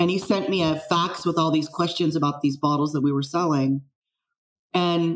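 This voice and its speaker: A woman with a General American accent speaks in an unremarkable speaking voice, her pitch fairly low. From US West Coast, San Francisco Bay Area. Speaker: wine fraud expert. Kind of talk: casual interview.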